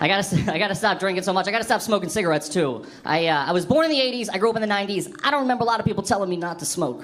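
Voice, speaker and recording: Someone talks at a very fast pace with hardly any pauses and lively intonation, and audible room echo fills the recording. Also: man, high pitch for a man. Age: 20s. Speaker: stand-up comedian. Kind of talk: stand-up. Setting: stage with audience.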